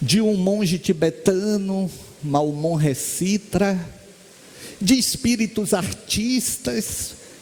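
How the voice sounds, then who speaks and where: Over noticeable background noise, a man with a high pitch speaks at a very slow pace with ordinary pitch variation. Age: 60s. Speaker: spiritist lecturer and medium. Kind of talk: spiritist lecture.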